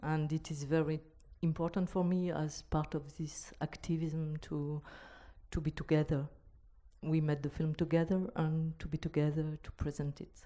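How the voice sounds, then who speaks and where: A woman speaks in a very deep, low pitch with monotone, flat intonation. Her tone is dark and mellow. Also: moderate pace. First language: not English. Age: young. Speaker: filmmaker. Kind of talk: panel discussion. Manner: halting.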